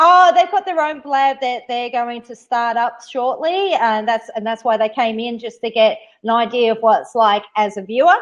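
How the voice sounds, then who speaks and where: This woman speaks in an Australian accent at a moderate pace, her high voice moving with lively intonation and hardly any pauses. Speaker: live stream host. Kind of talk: casual chat.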